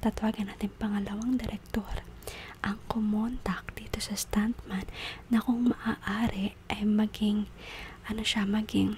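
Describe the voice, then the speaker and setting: Noticeable background noise sits behind the speaker. The voice is soft-spoken and moves at a fairly slow pace. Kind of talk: ASMR soft spoken.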